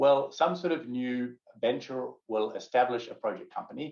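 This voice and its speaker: In a New Zealand accent, a man speaks. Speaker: project finance advisor and lecturer. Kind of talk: lecture.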